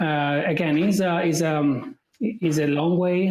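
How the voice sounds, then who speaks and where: A man speaks with an Italian accent. His pitch variation is ordinary. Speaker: AI specialist. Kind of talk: podcast interview. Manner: hesitant, many fillers.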